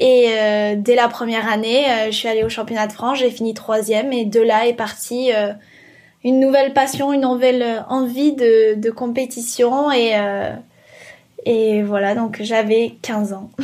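A woman speaks at a fairly high pitch in a flat, monotone way. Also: fairly slow pace. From French Alps. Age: 20s. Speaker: professional surfer. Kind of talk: interview testimony. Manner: hesitant, many fillers.

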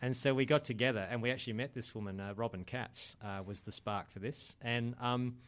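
On a very clean recording with a silent background, a man with an Australian accent speaks at a moderate pace and medium pitch. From Australia, Adelaide. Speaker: men's group organiser. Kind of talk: casual interview.

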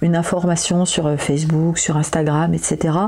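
Over noticeable background noise, a woman speaks at a fairly slow pace in a fairly low voice. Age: 40s. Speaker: therapist. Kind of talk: personal audio diary.

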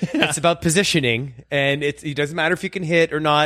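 Here a man with a normal speaking voice talks at a moderate pace and a fairly high pitch with fairly even intonation, in a dry, close sound with no echo. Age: 40s. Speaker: magician, guest co-host. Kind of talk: casual chat.

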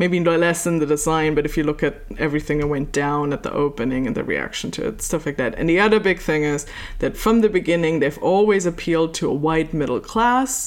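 A woman talks at a fairly quick pace with lively intonation and hardly any pauses, amid noticeable background noise. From Germany. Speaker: author and cultural historian. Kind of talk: interview.

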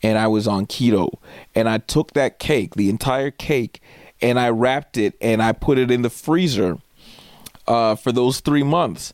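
A man of medium pitch at a fairly slow pace, with ordinary pitch variation, very even loudness and a dry, close sound with no echo. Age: 30s. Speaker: podcast host and comedian. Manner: animated, conversational and crude, with laughs and acted-out quoted voices; casual, rambling, filler-heavy.

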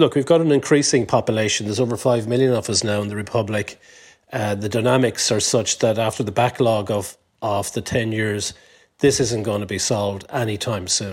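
Fairly quick and fairly low-pitched, a man with an Irish accent speaks with fairly even intonation. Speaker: business lobby chief executive. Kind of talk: panel discussion.

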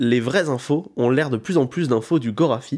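A man with a fairly high pitch has a plain, everyday voice and speaks at a moderate pace. The recording is very clean, with a silent background. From France, rural village. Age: 20s. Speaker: podcast host and stand-up comedian. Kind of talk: casual chat.

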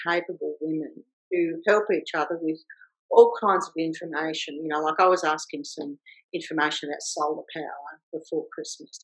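An Australian accent is heard here. The speaking pace is moderate. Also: woman. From rural Victoria, Australia. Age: 60s. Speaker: vocational educator and former film director. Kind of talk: interview.

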